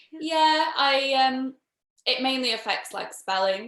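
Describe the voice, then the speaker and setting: With a strong northern English accent, a woman speaks in a bright, sharp tone with lively intonation. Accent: strong British northern. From northern England. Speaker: panel host. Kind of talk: casual chat.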